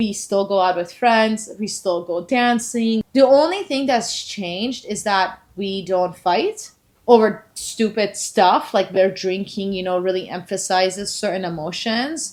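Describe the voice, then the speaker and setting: Speaking at a fairly slow pace, a woman has a Persian accent. Her pitch is fairly high, with ordinary variation. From Iran, moved to Canada at eleven. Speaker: sober lifestyle channel host. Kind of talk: casual chat.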